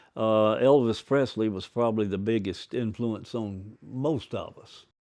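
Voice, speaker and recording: A man talks at a very slow pace with an Alabama accent. The background is quiet. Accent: Southern US (Alabama). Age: 80s+. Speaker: retired singer. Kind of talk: interview reminiscence. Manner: halting, many fillers.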